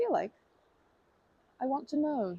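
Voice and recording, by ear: In a put-on character voice with vocal fry and a dark, mellow tone, the speaker moves at a fairly slow pace with big pitch swings, in a dry, close sound with no echo. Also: woman, high pitch for a woman.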